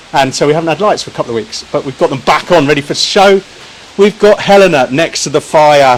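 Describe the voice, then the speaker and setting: Over noticeable background noise, a man speaks at a very fast pace with an English accent. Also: fairly high pitch for a man, ordinary pitch variation. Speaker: barbecue shop owner and cooking demonstrator. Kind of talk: live cooking stream. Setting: outdoors. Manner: loud.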